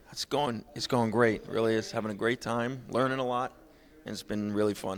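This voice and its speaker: A man's medium-pitched voice with an American accent, a fairly quick pace and monotone, flat intonation. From New Jersey / New York. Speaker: country singer-songwriter. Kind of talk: interview. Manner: loud.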